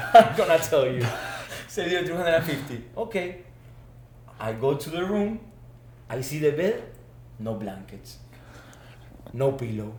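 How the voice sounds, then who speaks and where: With audible room echo, a man's voice makes very wide pitch swings and big swings in loudness, broken by long, frequent pauses. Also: fairly high pitch for a man, moderate pace. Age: 20s. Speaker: former student athlete, business manager. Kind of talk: casual chat.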